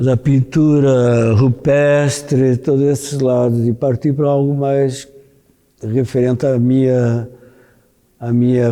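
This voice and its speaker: A man speaks at a very slow pace in a medium pitch, with a dark, mellow tone. His intonation is monotone and flat. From Brazil (Rio de Janeiro), born in Porto, Portugal. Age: 70s. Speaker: visual artist. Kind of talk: interview monologue. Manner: halting, many restarts and fillers.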